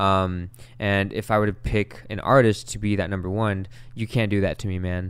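A man with an American accent speaks at a moderate pace in a fairly low pitch, his intonation fairly even. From Long Beach, California. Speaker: musician. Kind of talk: casual chat.

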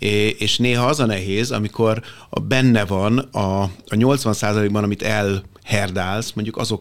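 Intonation stays fairly level throughout. The man's pitch sits fairly low. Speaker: business consultant. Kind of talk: panel discussion. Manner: halting.

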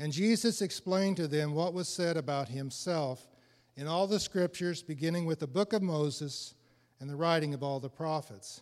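A man with an American accent talks at a moderate pace, his pitch fairly high and its variation ordinary. It is a normal speaking voice on a very clean recording with a silent background. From Illinois. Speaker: church member. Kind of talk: reading aloud.

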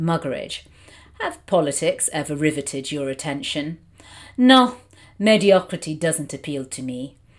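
A woman with a British accent speaks at a moderate pace in a very deep, low voice, leaving long, frequent pauses. The recording is very clean and the background silent. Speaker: film critic and podcast host. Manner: hesitant, many filler words, articulate.

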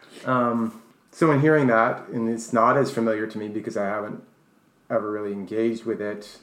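With an American accent, a man in an unremarkable speaking voice talks at a fairly quick pace, his medium pitch held to fairly even intonation. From New York. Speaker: co-host, English teacher and author. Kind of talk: casual chat.

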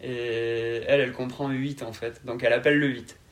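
Here a man speaks at a medium pitch. His intonation is fairly even. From southern France, Carcassonne (Aude, Occitanie). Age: 20s. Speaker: podcast guest. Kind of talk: interview. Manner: calm.

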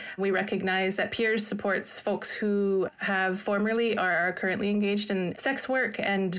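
An unremarkable speaking voice with a Canadian accent carries fairly even intonation. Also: woman. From Coast Salish, Vancouver Island, Canada. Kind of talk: casual interview. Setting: remote call.

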